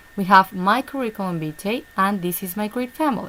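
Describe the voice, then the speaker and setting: A woman speaks with a Spanish accent at a moderate pace. Her medium pitch shows ordinary variation, and there is noticeable background noise. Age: 30s. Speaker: online English teacher. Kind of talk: online class session. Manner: halting.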